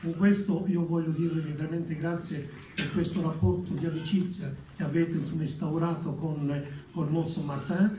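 A man with an Italian accent speaks at a fairly slow pace in a high, monotone, flat voice. Noticeable background noise is audible. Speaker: representative of Italians abroad. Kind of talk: formal speech.

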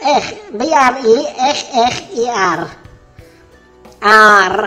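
A put-on character voice, raised and projected, with lively intonation, a very slow pace, and faint music in the background. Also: man, extremely high pitch for a man. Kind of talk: prank call. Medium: role play. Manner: flustered, confused.

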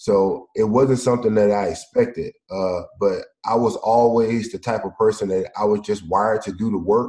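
A man talks with a dark, mellow tone. His intonation is fairly even. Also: medium pitch for a man, moderate pace. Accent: Mississippi. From US South, Mississippi. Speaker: former pro football player, founder of education company. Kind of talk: casual interview chat.

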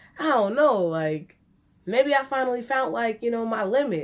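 A woman at a fairly slow pace, with very wide pitch swings. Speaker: vlogger. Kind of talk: casual vlog chat, storytelling. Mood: animated, embarrassed, playful. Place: home room. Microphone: phone near.

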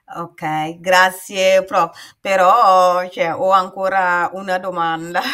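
A woman's bright, sharp tone at a very slow pace, with fairly even intonation and a quiet background. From Burkina Faso. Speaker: patient and author. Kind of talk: personal testimony in interview. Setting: video call. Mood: calm, personal storytelling. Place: home room.

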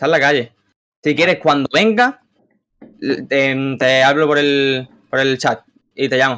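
Speaking at a fairly slow pace, a man leaves long, frequent pauses and keeps very even loudness with fairly even intonation. His tone is bright and sharp. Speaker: caller seeking advice; caller. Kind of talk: casual chat. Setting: video call. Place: home room.

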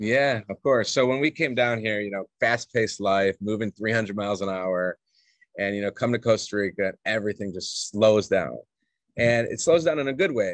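A man speaks at a moderate pace with an American accent and ordinary pitch variation. The sound is dry with no echo over a quiet background. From Atlanta, Georgia, US South; Georgia. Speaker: expat parent, remote worker; podcast guest. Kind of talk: casual interview chat. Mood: upbeat, friendly. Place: home room. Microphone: video call.

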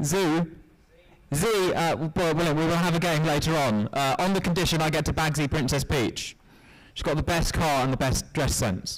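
A man at a moderate pace with very even loudness and ordinary pitch variation, over a quiet background. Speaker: business analyst, university IT; business analyst. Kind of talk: interactive workshop presentation. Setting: stage with audience. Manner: upbeat, jokey. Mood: jokey, upbeat. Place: hall. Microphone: handheld.

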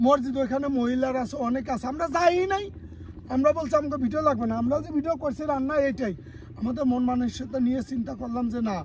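A man at an extremely high pitch over noticeable background noise. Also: ordinary pitch variation. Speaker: content creator. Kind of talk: casual chat.

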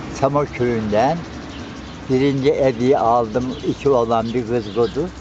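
Speech comes at a very slow pace with fairly even intonation. The sound is dry with no echo, and there is noticeable background noise. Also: man. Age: 80s+. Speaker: village elder telling his life story. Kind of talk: interview answer. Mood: warm, reminiscing. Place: garden. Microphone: phone near.

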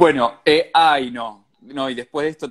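Someone speaks at a fairly slow pace against a quiet background. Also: man. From Argentina. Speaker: radio host running an Instagram live. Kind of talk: casual live-stream interview. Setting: Instagram live video call. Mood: friendly, playful. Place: home room. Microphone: earbuds.

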